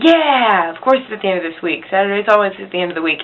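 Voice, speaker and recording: A woman at a fairly quick pace and medium pitch with very wide pitch swings, over noticeable background noise. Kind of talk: casual talk to camera. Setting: poor home recording. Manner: rambling.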